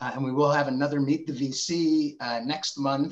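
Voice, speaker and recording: A man with an American accent talks in an ordinary speaking voice at a fairly high pitch, with ordinary pitch variation over a quiet background. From New Jersey. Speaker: webinar host, marketing executive; webinar host. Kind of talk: webinar presentation. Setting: video call. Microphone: video call.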